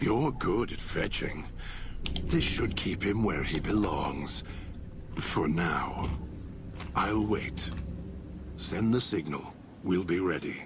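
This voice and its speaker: Whispering in a put-on character voice, a man speaks at a very slow pace with long, frequent pauses over clear background noise. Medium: video game. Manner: guttural, menacing, measured.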